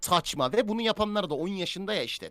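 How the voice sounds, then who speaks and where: Talking at a very fast pace, a man uses an animated tone in a dry, close sound with no echo. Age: 20s. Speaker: streamer. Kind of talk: casual live stream chat.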